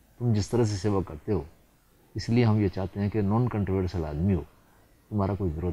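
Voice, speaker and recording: A man's somewhat breathy voice has a dark, mellow tone and a fairly low pitch, with ordinary pitch variation. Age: 80s+. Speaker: politician. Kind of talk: TV interview.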